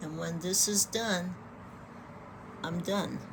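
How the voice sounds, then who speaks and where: Over noticeable background noise, a woman with a fairly low pitch talks at a very slow pace, her tone relaxed and her intonation fairly even. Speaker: knitting vlogger. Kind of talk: casual tutorial. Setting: at home in pajamas with coffee. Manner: relaxed, hesitant with many fillers.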